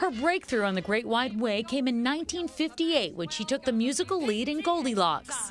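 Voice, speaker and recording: Over music in the background, a woman with a high pitch and very wide pitch swings talks at a fairly quick pace, hardly pausing. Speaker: TV entertainment reporter. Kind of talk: TV news obituary narration.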